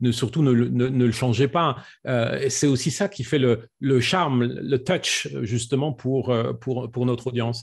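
A somewhat breathy male voice against a quiet background. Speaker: public speaking coach. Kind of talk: online presentation Q&A. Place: home room. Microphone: studio mic.

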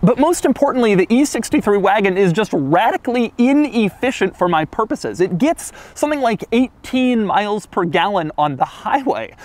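A man at a moderate pace with hardly any pauses, in a dry sound with no echo. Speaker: car reviewer. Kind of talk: casual vlog chat. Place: street.

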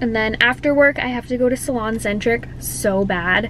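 A woman speaks with ordinary pitch variation. The sound is dry with no echo, over light background noise. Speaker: hairstylist vlogger. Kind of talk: casual vlog chat. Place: car. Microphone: phone near.

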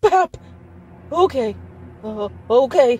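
A quiet, shaky, female-sounding put-on character voice at a fairly high pitch. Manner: quiet, nervous.

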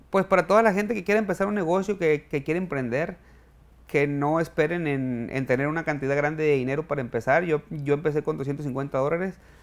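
This is a man with a plain, everyday voice and a fairly high pitch. He talks at a fairly quick pace with ordinary pitch variation. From Mexico, Sinaloa (Culiacán area); Sinaloa, Mexico. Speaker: chef and restaurant owner; interview guest. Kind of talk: interview. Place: studio.

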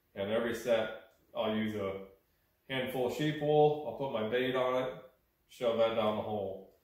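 The voice moves at a moderate pace with ordinary pitch variation. Audible room echo fills the recording. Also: man, long, frequent pauses. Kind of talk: tutorial show-and-tell. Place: workshop. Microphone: camera far.

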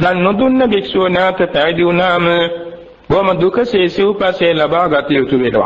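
Amid audible room echo and noticeable background noise, a man speaks at a very slow pace in a high pitch. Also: ordinary pitch variation, very even loudness. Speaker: Buddhist monk. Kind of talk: sermon. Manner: formal.

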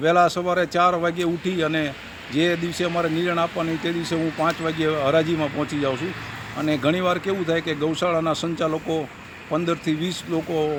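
A man speaks in a high pitch with monotone, flat intonation. Noticeable background noise is present. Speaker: retired police officer, cow-welfare volunteer. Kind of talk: interview answers.

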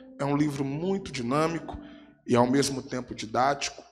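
At a fairly slow pace, a man speaks with faint music in the background. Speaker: preacher. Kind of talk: sermon. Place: church. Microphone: handheld.

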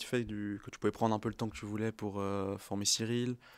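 A man speaks at a medium pitch, monotone with flat intonation. The recording is very clean, with a silent background. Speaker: apprentice media designer, co-host. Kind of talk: casual chat.

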